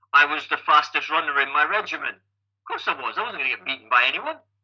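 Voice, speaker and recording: Talking at a very fast pace, a man speaks with a Scottish accent. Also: big swings in loudness. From Scotland, Falkirk. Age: 50s. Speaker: triathlon coach and age-group athlete. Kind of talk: podcast interview. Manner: animated.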